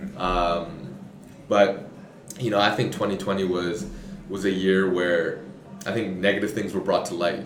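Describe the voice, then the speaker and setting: A man's very deep, low voice at a fairly slow pace, fairly even in intonation, with long, frequent pauses, audible room echo and noticeable background noise. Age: 20s. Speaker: podcast host. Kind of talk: casual interview.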